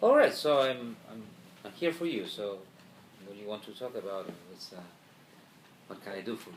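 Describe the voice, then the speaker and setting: The speaker has a Spanish accent and talks at a fairly quick pace with lively intonation. Loudness swings widely, and there are long, frequent pauses. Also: man, fairly low pitch for a man. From Argentina. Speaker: journalist and professor. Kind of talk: interview. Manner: halting, many repetitions.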